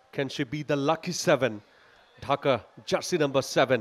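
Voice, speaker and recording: This is a man with a fairly high-pitched voice. His pitch varies in an ordinary way. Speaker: sports commentator. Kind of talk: sports commentary. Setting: outdoors at the venue, live at the kabaddi turf. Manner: excitable, emphatic, praising big moments.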